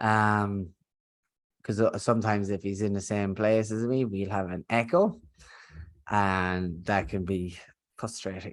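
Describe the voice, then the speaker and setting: Against a quiet background, a man with a strong Irish accent speaks at a fairly low pitch with fairly even intonation and long, frequent pauses. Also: fairly slow pace. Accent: thick Irish. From Ireland. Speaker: business founder and podcast host. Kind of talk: podcast conversation. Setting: remote recording, co-host in next room. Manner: casual, filler-heavy.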